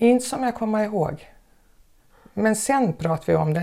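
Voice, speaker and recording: A woman speaks at a moderate pace with a dark, mellow tone and vocal fry, on a very clean recording with a silent background. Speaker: former teacher. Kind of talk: interview.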